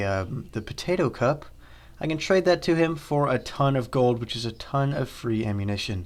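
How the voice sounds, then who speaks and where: Recorded very cleanly against a silent background, a man speaks at a medium pitch with lively intonation. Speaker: gaming YouTuber. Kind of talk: gameplay voice-over commentary. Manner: fast; casual, with fillers.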